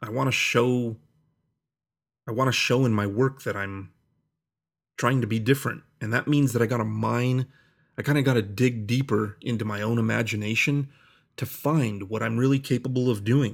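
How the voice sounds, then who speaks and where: Against a very clean, silent background, a man speaks at a moderate pace with fairly even intonation and long, frequent pauses. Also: medium pitch for a man. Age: 30s. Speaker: podcast host, artist. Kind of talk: casual solo monologue. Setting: home office. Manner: loose and informal.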